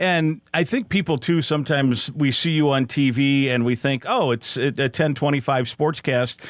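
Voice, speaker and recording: A man's fairly high voice with an American accent, a plain, everyday voice at a moderate pace, with ordinary pitch variation. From Iowa. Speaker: podcast host and sports play-by-play announcer. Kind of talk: interview. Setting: studio.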